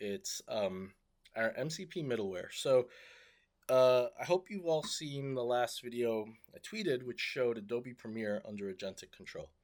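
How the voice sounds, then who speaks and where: At a moderate pace, a man with a medium pitch speaks with lively intonation in a very clean recording with a silent background. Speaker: tech startup founder. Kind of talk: casual video update. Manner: hesitant, many fillers.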